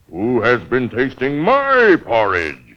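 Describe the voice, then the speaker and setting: A man's bellowing put-on character voice, medium in pitch, at a fairly slow pace. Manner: roaring.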